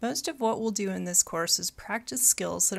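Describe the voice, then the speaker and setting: Speaking at a moderate pace with an American accent, a woman uses a medium pitch and vocal fry on a very clean recording with a silent background. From Michigan. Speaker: college geology instructor. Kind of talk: recorded mini lecture.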